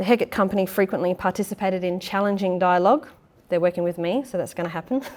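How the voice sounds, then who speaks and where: With an Australian accent, a woman speaks very fast at a medium pitch, with ordinary pitch variation. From Perth, Western Australia. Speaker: actor, theatre maker and playwright. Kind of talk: public lecture.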